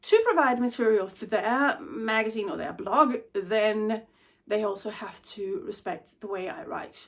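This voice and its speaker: Loudness swings widely in this voice with a Danish accent and lively intonation. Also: woman. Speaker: intellectual property advisor. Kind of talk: vlog monologue. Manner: stumbles over words.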